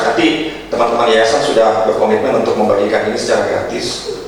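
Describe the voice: A man at a medium pitch and a fairly quick pace, with audible room echo.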